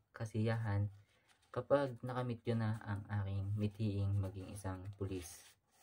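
A somewhat breathy man at a very slow pace, his dark, mellow tone at a fairly low pitch with fairly even intonation. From Philippines, Occidental Mindoro; Philippines. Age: 20s. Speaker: college student; speaker. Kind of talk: self-introduction; personal self-introduction in Tagalog. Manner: halting. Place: home room. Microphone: webcam.

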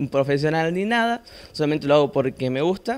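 A man with a fairly high pitch speaks with lively intonation. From Argentina, Santa Fe province (Sunchales); Santa Fe province, Argentina. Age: young. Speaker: amateur painter; guest. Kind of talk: interview. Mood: modest, a bit shy. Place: studio.

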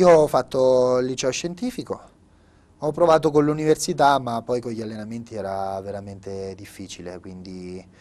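The speaker moves at a moderate pace. The tone is dark and mellow, and the pitch varies an ordinary amount. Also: man. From Italy, Marche. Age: 20s. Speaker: open water swimmer; guest. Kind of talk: interview. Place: studio.

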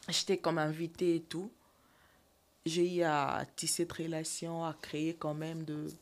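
A woman's voice, fairly low in pitch. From DR Congo. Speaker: actress and TikToker; actress. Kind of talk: interview, casual chat. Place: studio. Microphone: studio mic.

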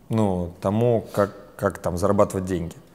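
A man talks at a fairly slow pace, his fairly low voice kept to fairly even intonation. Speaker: business trainer and company founder. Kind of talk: interview. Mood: relaxed, smiling. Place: studio. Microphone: lapel.

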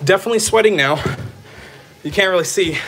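A man speaks with a high pitch and ordinary pitch variation. Light background noise is audible. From Texas. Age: 30s. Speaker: streamer. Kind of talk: live stream chat. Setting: on a treadmill. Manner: animated. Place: home room. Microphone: phone near.

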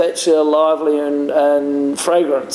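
A man talks at a moderate pace with audible room echo. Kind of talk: product presentation talk. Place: bar.

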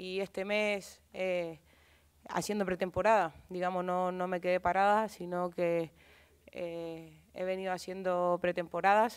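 Monotone, flat intonation at a fairly slow pace over a quiet background. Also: woman, medium pitch for a woman. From Chile. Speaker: footballer. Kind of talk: press conference. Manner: halting. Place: hall. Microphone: podium.

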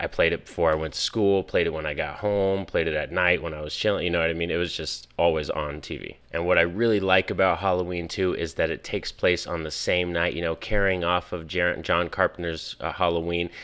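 A man with a very deep, low voice talks at a fairly quick pace in a monotone, flat intonation. He hardly pauses, and the background is quiet. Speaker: movie reviewer. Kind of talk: casual vlog chat. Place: home room. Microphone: studio mic.

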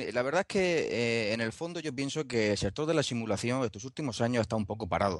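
In a plain, everyday voice, a man speaks with lively intonation. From Spain, Murcia. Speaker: DIY motion simulator builder. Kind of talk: casual chat.

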